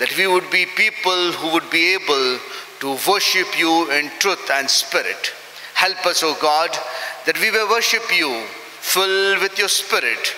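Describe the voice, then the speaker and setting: With audible room echo and light background noise, a man speaks at a fairly slow pace in a high-pitched voice. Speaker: minister leading worship. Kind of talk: prayer. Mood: solemn, reverent. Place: church. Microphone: podium.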